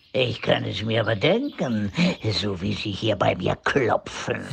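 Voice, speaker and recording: At a fairly slow pace, a man with a fairly low pitch performs a put-on character voice. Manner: pompous, sarcastic.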